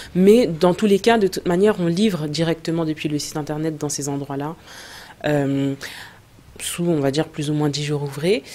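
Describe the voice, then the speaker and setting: A woman with a very deep, low pitch speaks at a moderate pace, pausing often and at length. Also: ordinary pitch variation. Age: 30s. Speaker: entrepreneur, cosmetics brand co-founder. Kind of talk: interview. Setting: studio.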